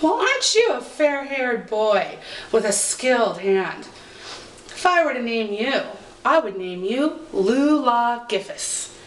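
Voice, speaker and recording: Over clear background noise, a woman does a put-on character voice at a high pitch and a fairly slow pace. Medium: read story. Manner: haughty, indignant.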